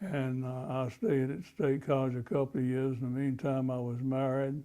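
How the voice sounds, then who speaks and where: With an eastern North Carolina accent, a man talks at a moderate pace in a medium pitch, his tone dark and mellow and his intonation fairly even. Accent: Southern US (eastern North Carolina). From North Carolina, Rocky Mount. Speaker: war veteran. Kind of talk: oral history interview. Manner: halting, many fillers and restarts.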